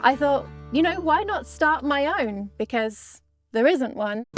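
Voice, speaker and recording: A woman with an English accent at a moderate pace, ordinary pitch variation, music in the background. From England. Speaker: podcast host and mounted shooter. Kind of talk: interview answer. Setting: outdoors.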